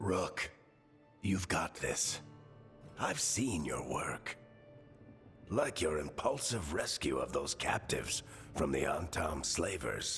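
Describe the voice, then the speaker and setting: Someone does a put-on character voice at a fairly slow pace with long, frequent pauses while music plays clearly in the background. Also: man, very deep, low pitch for a man. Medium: video game. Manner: wry, casual, warm.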